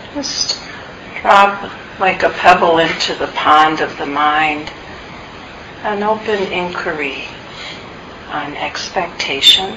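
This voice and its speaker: Against noticeable background noise, a woman with a fairly low pitch speaks in a gentle, soothing tone at a very slow pace, with ordinary pitch variation and long, frequent pauses. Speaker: meditation teacher. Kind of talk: guided meditation. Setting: meditation center, recorded talk. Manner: slow, soft-spoken, calm; gentle, soothing, with long pauses.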